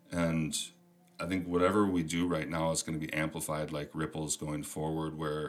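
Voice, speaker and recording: In a Minnesotan accent, a man talks at a fairly quick pace with a very deep, low pitch. His intonation stays flat and monotone. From US Minnesota. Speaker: podcast host. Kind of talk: casual chat.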